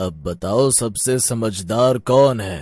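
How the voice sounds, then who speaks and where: A man performs a cartoonish character voice at a medium pitch. The recording is very clean, with a silent background. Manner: calm, authoritative.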